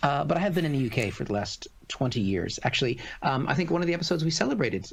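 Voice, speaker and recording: Very fast, somewhat breathy speech from a man of medium pitch, with very wide pitch swings and an American accent. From United States. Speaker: comedian. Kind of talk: casual chat. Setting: live stream.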